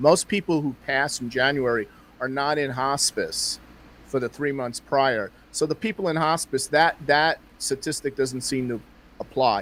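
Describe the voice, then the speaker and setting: With a normal speaking voice, a man talks at a moderate pace, his pitch fairly high and its variation ordinary. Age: 60s. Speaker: astrologer. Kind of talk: interview conversation.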